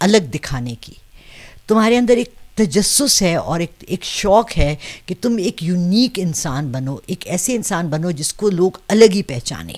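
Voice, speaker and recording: A woman speaks very slowly, her pitch swinging very widely and her loudness rising and falling a lot. The background is quiet. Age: 60s. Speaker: astro palmist; interviewee. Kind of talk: interview. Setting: seated in front of camera. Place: home room. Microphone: handheld.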